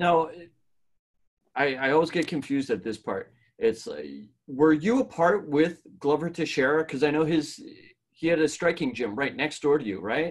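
The speaker uses vocal fry and lively intonation at a moderate pace, with long, frequent pauses over a quiet background. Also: man, fairly high pitch for a man. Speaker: podcast co-host. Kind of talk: casual interview chat.

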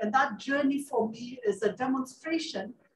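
A woman's high-pitched voice with lively intonation at a moderate pace, amid light background noise and audible room echo. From Kenya, Nairobi; Kenya. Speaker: UN climate official, panelist; panelist. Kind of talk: panel remarks. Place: hall.

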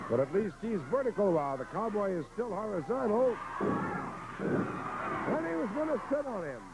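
Against noticeable background noise, a man talks at a moderate pace with hardly any pauses, his high pitch swinging very widely. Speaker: wrestling commentator. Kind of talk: live wrestling commentary, play-by-play. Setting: archive broadcast of a match. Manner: vivid, clipped blow-by-blow calls.

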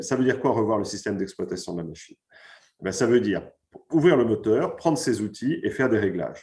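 Somewhat breathy, a man speaks against a quiet background. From France. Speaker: finance executive and author; guest. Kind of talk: pre-recorded conference talk. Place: home room. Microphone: video call.

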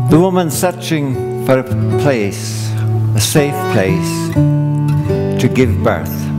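Through loud background noise, a man talks at a very slow pace. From Ireland. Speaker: storyteller. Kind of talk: live stage storytelling with guitar accompaniment. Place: stage. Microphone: headset.

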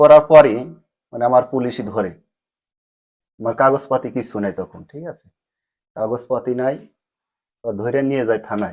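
This is an ordinary speaking voice from a man, medium in pitch with ordinary pitch variation. His loudness swings widely over a quiet background. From Bangladesh, Faridpur. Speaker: migrant telling his journey. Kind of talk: interview testimony.

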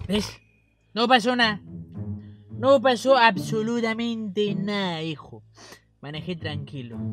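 Delivered at a very slow pace, the voice has a dry sound with no echo while clear music plays in the background. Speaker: sketch comedy actor. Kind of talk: acted comedic dialogue. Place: car.

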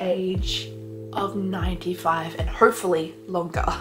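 A woman speaks at a very slow pace with noticeable background noise. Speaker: vlogger. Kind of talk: casual vlog talk to camera. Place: home room. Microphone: phone near.

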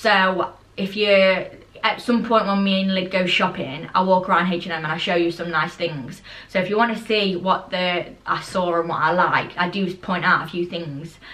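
With a British accent, a woman speaks in a fairly low voice. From UK. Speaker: lifestyle vlogger; haul vlogger. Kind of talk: casual haul video chat. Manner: fast; animated. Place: home room. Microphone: camera far.

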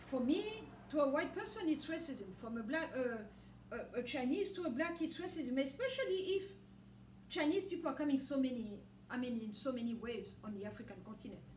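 With a French accent and a high pitch, a woman speaks at a fairly quick pace with very wide pitch swings, amid light background noise and audible room echo. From DR Congo (Katanga). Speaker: religious video blogger. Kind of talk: religious monologue. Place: home room. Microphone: camera far.

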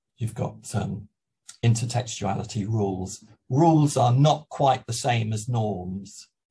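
A man talks at a fairly slow pace with a dark, mellow, somewhat breathy tone. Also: medium pitch for a man, ordinary pitch variation. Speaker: university EAP lecturer. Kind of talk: webinar lecture. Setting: video call. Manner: hesitant, many fillers.

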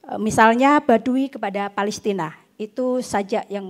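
A woman speaks with ordinary pitch variation. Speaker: literary critic and researcher; panel discussant on poetry book. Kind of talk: panel talk; literary critique talk. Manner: halting. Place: stage. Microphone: handheld.

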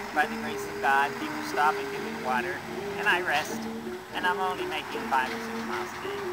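A man's fairly quick speech over loud background noise. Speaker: wandering pilgrim. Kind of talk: interview answer. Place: street. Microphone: phone near.

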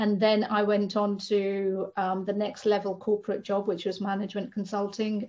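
With a dark, mellow tone, a woman talks at a moderate pace in a monotone, flat intonation. The background is quiet. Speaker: spiritual lifestyle coach. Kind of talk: interview conversation. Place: home room. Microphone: video call.

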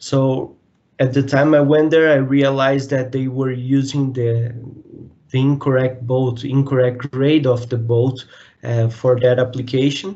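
In a quiet background, a man with a medium-pitched voice speaks at a fairly slow pace in a monotone, flat intonation. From Brazil. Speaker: mechanical engineer. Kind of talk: interview. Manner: halting, many repetitions. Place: home room. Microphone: video call.

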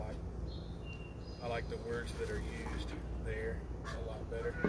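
A man talks fairly slowly despite loud background noise. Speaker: preacher. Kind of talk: casual livestream Bible study talk. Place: open country.

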